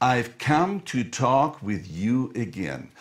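A man speaks at a medium pitch. There is vocal fry in his voice. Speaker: English teacher. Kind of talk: live-streamed lesson.

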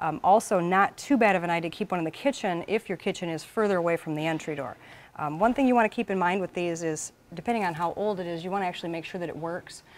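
A woman talks at a very fast pace with a fairly low pitch and ordinary pitch variation. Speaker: presenter. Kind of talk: tutorial.

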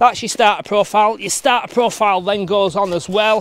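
In a dry recording with no echo and light background noise, a man speaks at a high pitch with ordinary pitch variation. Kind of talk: tutorial. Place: garden. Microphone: phone near.

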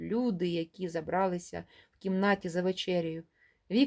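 Fairly even intonation in plain reading aloud

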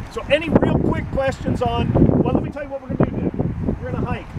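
Background noise is loud as a man talks at a very fast pace. The sound is dry, with no echo. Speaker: park tour guide. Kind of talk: guided tour talk to a group. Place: open country. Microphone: camera far.

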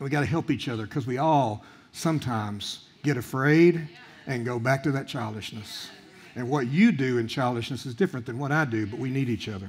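Speaking at a fairly quick pace, the man lets his pitch rise and fall in an ordinary way. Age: 60s. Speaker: guest preacher. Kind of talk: sermon. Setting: church. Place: church. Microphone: headset.

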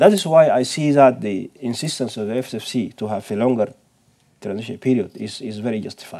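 With a dark, mellow tone and medium pitch, a man speaks at a fairly quick pace, his loudness swinging widely over a quiet background. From Sudan. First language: Arabic. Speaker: professor. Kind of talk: panel discussion. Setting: seminar with audience. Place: studio.

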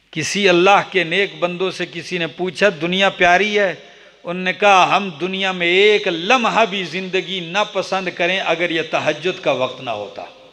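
In a raised, projected voice, a man with a high pitch speaks at a moderate pace using fairly even intonation. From Pakistan. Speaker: Islamic preacher. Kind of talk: sermon. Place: hall. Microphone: studio mic.

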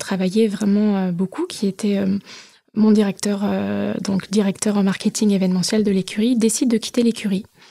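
Dark and mellow, a woman's voice sits at a medium pitch with fairly even intonation. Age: 30s. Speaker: racing school director. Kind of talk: interview testimony. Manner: hesitant, many fillers.

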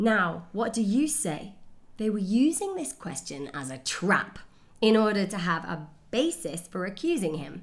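Her pitch swings very widely as this woman talks at a fairly slow pace. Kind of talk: scripture reading. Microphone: webcam.

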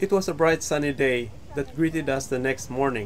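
With light background noise, a man talks at a moderate pace in fairly even intonation. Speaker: travel vlog narrator. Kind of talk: reflective voice-over narration.

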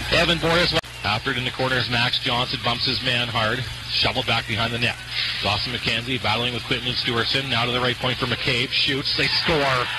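Against noticeable background noise, a man speaks at a medium pitch with very even loudness. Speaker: hockey play-by-play commentator. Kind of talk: live sports commentary, play-by-play of a junior hockey game. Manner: rapid-fire, breathless play-by-play; excited, voice rising on goals.

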